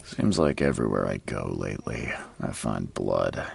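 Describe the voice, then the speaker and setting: A man's put-on character voice, raspy and very deep and low, in a weary tone at a moderate pace. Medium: short film. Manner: dry, world-weary.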